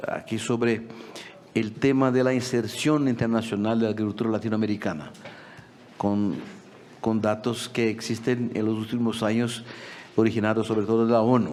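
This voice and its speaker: In a Portuguese accent, a man speaks at a moderate pace with fairly even intonation and long, frequent pauses, amid noticeable background noise and audible room echo. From Brazil. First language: Portuguese (speaking Spanish). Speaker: agricultural policy expert. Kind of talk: conference talk. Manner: halting.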